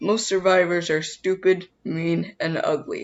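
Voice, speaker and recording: A raspy, female-sounding voice puts on a character voice and speaks at a fairly slow pace. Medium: read story.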